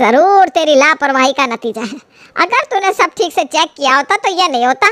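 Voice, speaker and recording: Shouting in a put-on character voice, a woman swings her high pitch very widely at a moderate pace, the sound dry and close with no echo. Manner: shouting, scolding.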